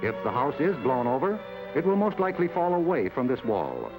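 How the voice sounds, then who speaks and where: Music plays in the background as a man's pitch moves in very wide swings. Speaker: broadcast journalist. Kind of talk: government documentary narration. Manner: measured.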